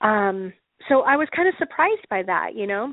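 A woman speaks at a moderate pace with lively intonation and a fairly high pitch. She has an unremarkable speaking voice. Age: 40s. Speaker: podcast host. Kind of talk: casual monologue. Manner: frequent fillers.

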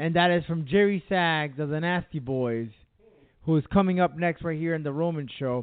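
A man with a fairly high pitch talks in a normal speaking voice. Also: ordinary pitch variation, moderate pace. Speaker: radio host. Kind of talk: casual chat.

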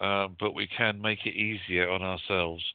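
With a very deep, low pitch, a man talks at a fairly slow pace in a monotone with flat intonation. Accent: British. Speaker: psychic medium. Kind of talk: casual chat with live call-in readings. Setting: radio show with phone callers.

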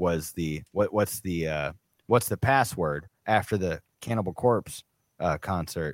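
A man with an American accent and a very deep, low voice. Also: dry, close sound with no echo. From US South, Atlanta Georgia. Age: 30s. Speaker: comedian podcast co-host. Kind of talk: casual chat. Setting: live stream.

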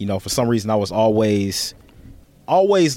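This man has a normal speaking voice with an American accent. His intonation is lively. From Chicago, US Midwest. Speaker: comic book artist. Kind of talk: casual interview. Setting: podcast studio.

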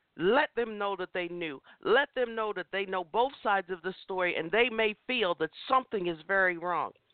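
This voice moves at a moderate pace with hardly any pauses, an animated tone and ordinary pitch variation. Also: woman, medium pitch for a woman. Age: 50s. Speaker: inspirational talk show host. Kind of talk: impassioned motivational sermon-style testimony, preaching to listeners. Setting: internet radio show. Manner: rising, emphatic preacher cadence with repeated lists.

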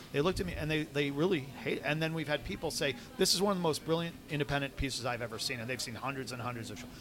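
Against noticeable background noise, a man with an American accent talks at a very fast pace in a fairly high pitch with ordinary pitch variation. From New York. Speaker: film director. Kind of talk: interview. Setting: coffee shop.

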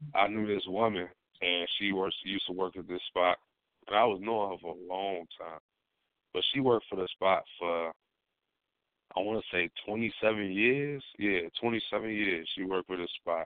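Fairly even intonation runs through a plain, everyday voice that moves at a moderate pace. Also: man, fairly low pitch for a man. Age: 20s. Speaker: radio co-host. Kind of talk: casual chat. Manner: laid-back.

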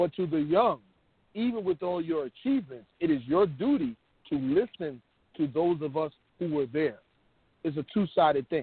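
His pitch varies in an ordinary way. This male voice is fairly high-pitched. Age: 50s. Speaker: co-host and truck driver. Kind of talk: call-in talk show.

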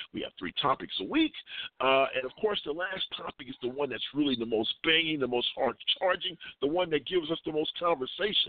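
An ordinary speaking voice, a man's fairly high pitch moves at a fairly quick pace with ordinary pitch variation. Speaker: online radio talk show host. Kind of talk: radio talk show discussion.

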